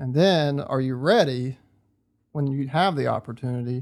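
A man with an American accent and a normal speaking voice, medium in pitch, with fairly even intonation, on a very clean recording against a silent background. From North Central West Virginia. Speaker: hunter. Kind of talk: casual chat. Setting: cabin at deer camp.

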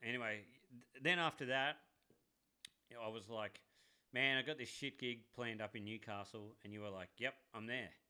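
A man with an Australian accent talks at a moderate pace and a medium pitch, with ordinary pitch variation and a bright, sharp tone. His loudness swings widely, and he takes long, frequent pauses. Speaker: podcast co-host, tradie. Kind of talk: casual chat.

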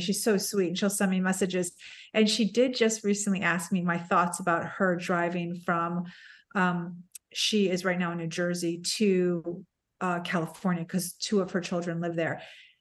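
A normal speaking voice moves at a moderate pace. The background is quiet. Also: woman. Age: 50s. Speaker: podcaster. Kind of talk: casual chat.

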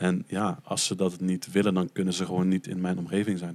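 A fairly quick pace in a dry, close sound with no echo. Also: man. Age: 20s. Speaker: podcast guest, adoptee from Colombia. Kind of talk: casual chat.

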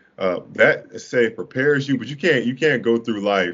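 In an American accent, the speaker uses an ordinary speaking voice at a fairly quick pace with ordinary pitch variation. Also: man. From Duval County (Jacksonville), Florida. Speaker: former college basketball player. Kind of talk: casual interview chat.

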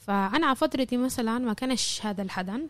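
In an ordinary speaking voice, a woman talks at a moderate pace with ordinary pitch variation, on a very clean recording with a silent background. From Jaffa. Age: 20s. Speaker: university student. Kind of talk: interview.

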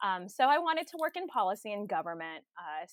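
In a Californian accent, a woman with a medium pitch speaks with lively intonation, the recording very clean with a silent background and a dry, close sound with no echo. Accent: Californian American English. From Southern California, Los Angeles County. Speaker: government attorney. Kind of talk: interview.

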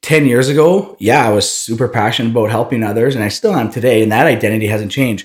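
A man with a Canadian Prairies accent at a medium pitch, very fast pace and hardly any pauses, with ordinary pitch variation. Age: 30s. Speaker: entrepreneur and running coach. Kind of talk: interview. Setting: studio, in person.

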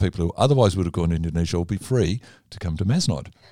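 Over a very clean recording with a silent background, a man with an Australian accent talks very fast in a very deep, low voice with a dark, mellow tone. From Australia, Melbourne. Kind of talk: casual interview.

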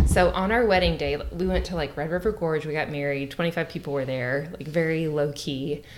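A woman with a Southern Kentucky accent and a very deep, low pitch talks at a moderate pace with ordinary pitch variation amid noticeable background noise. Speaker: bourbon tasting guest. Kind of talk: casual chat.

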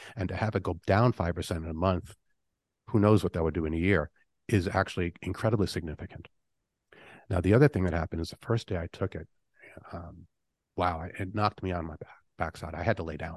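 A man's very deep, low voice at a very fast pace, with ordinary pitch variation and long, frequent pauses, dry and close with no echo against a quiet background. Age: 50s. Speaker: detox supplement formulator. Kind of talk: interview.

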